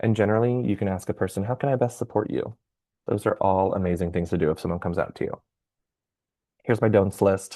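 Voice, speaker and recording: A man with a fairly low pitch and a dark, mellow tone talks at a very fast pace, yet with long, frequent pauses. The background is quiet. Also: ordinary pitch variation. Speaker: workshop presenter from LGBTQ youth organization. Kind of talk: training workshop presentation. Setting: video call with shared slides. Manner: expressive, animated.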